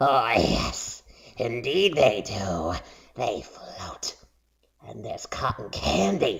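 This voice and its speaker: Using a put-on character voice at medium pitch, a man speaks at a very slow pace with long, frequent pauses. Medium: read story. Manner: sing-song luring.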